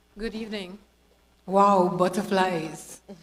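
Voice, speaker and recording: With audible room echo, a woman speaks at a medium pitch and a fairly slow pace. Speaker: award recipient, former carnival queen. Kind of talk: acceptance speech. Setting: stage at awards ceremony.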